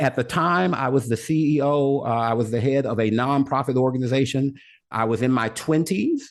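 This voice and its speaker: Against a quiet background, a man with an American accent and a normal speaking voice talks at a fairly quick pace and medium pitch, with ordinary pitch variation and very even loudness. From US South, Little Rock, Arkansas. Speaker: motivational speaker. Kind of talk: interview.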